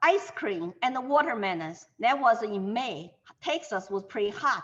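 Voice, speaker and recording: Very wide pitch swings run through this voice with a Chinese accent. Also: woman. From China, Shanghai. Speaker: Chinese immigrant interviewee. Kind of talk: interview.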